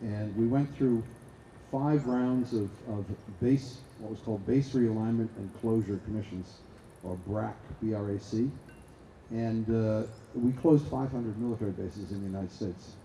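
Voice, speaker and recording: With a slight Boston accent, a man speaks at a moderate pace, pausing long and often, with audible room echo. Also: medium pitch for a man, fairly even intonation. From US Northeast, Boston. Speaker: arms control expert, award laureate. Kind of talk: talk at a conference panel. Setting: stage with audience. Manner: halting, with many fillers.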